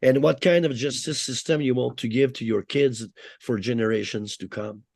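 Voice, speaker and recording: A man at medium pitch and a moderate pace, with ordinary pitch variation and a quiet background. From Quebec, Canada. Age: 60s. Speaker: former prisoner. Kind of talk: interview. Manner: animated.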